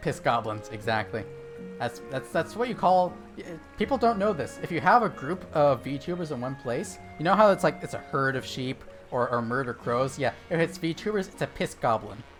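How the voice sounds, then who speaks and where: Over music in the background, a man with an American accent speaks at a moderate pace, his fairly high voice swinging very widely in pitch. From US West Coast.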